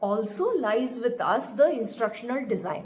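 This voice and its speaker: At a moderate pace, a woman speaks in a high voice with an Indian accent. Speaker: instructional designer and author. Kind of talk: podcast talk. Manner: unscripted, casual.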